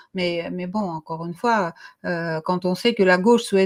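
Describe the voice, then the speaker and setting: A woman is speaking. Her pitch is fairly low. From Russian and Armenian background. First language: Russian or Armenian; French is third language (speaking French). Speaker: co-host of political morning show. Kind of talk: political discussion. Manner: hesitant, many fillers.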